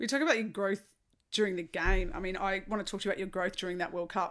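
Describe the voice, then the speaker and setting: A woman's medium-pitched voice with an Australian accent. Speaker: podcast host, former baseball player. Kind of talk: interview question.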